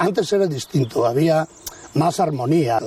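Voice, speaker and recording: A man's fairly high-pitched voice with ordinary pitch variation and a fairly slow pace, over noticeable background noise. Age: 70s. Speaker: village restaurant owner. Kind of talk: casual interview chat.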